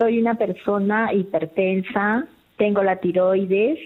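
Talking at a very slow pace, a woman uses a medium pitch and ordinary pitch variation. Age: 60s. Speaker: caller. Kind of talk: call-in question. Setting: phone call.

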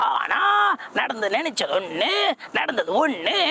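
A cartoonish character voice moves at a fairly slow pace with very wide pitch swings. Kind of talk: cartoon voice mimicry. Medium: solo performance.

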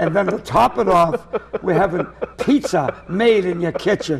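A man with a Boston accent talks at a moderate pace and a high pitch. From Lynn, Massachusetts; Massachusetts. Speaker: comedian. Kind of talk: casual chat. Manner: animated. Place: studio. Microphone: lapel.

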